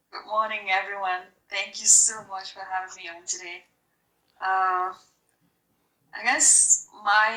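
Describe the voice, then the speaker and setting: Speaking with an American accent, a woman talks at a very slow pace with long, frequent pauses. Her tone is bright and sharp, and her intonation stays fairly even. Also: medium pitch for a woman, big swings in loudness. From Cameroon. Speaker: nurse researcher and professor. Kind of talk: guest talk.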